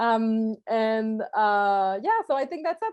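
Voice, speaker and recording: A woman speaks with a Quebec accent at a fairly high pitch. Her pitch variation is ordinary and the background is quiet. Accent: French Canadian accent in English. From Quebec, Canada. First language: French. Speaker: journalist, alumni panelist. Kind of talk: panel discussion. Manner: halting.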